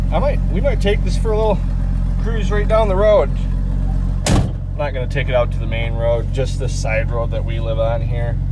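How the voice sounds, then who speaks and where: Moderate pace over loud background noise. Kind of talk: casual vlog chat. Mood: relaxed, casual. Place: car. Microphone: phone near.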